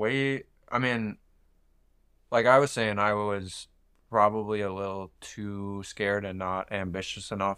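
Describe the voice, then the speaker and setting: In a very clean recording with a silent background, a man with an American accent speaks at a very slow pace. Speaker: podcast co-host. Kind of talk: casual chat.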